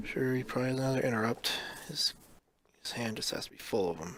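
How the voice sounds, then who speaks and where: A man talks quietly. His pace is fairly quick. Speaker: card game streamer. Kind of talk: gameplay commentary.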